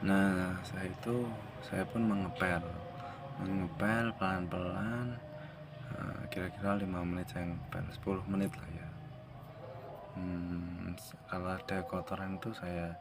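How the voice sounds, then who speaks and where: A man with a very deep, low pitch speaks at a fairly slow pace with fairly even intonation and long, frequent pauses. Music plays in the background, and room echo is audible. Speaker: vlogger. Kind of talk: casual vlog.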